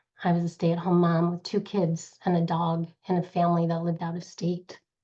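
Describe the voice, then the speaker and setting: A woman talks at a fairly low pitch in a dark, mellow tone. The background is quiet. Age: 50s. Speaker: direct sales leader. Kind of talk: motivational presentation.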